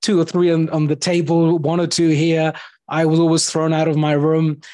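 A man with a fairly high pitch at a moderate pace, against a quiet background. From India. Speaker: podcast host. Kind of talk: interview.

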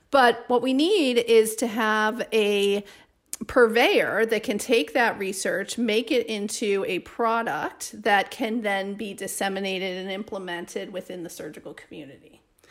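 At a fairly slow pace, a woman with a fairly high-pitched voice speaks with big swings in loudness. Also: ordinary pitch variation. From US Midwest, Chicago. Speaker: surgeon and professor. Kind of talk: interview.

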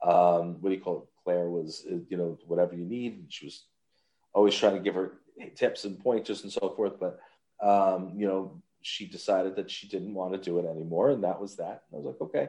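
In a Long Island accent, the speaker moves at a fairly quick pace with a dark, mellow tone and big swings in loudness. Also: man, very deep, low pitch for a man. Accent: New York (Long Island). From Long Island, New York. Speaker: voice actor and podcast host. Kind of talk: casual chat. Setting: remote call from a holiday resort. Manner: animated.

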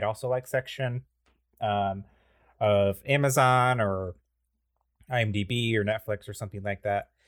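A man talks at a fairly slow pace with a fairly low pitch. His intonation stays fairly even. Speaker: podcast co-host. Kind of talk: casual chat. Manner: halting.

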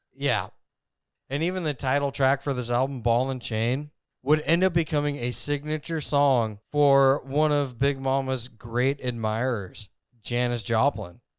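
Recorded very cleanly against a silent background, a man speaks at a fairly slow pace. He has an ordinary speaking voice, medium in pitch, with ordinary pitch variation. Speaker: podcast co-host. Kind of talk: casual chat about music history. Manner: casual, joking, profane.

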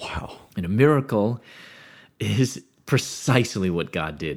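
This man speaks with a Midwestern American accent and very wide pitch swings. The recording is very clean, with a silent background. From US Midwest, Chicago area. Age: 50s. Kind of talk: testimony.

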